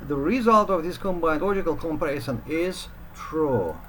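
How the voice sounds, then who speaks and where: The speaker has a non-native accent and talks at a moderate pace. There is noticeable background noise. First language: not English. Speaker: programming teacher. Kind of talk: tutorial. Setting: home study room. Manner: halting, many filler sounds.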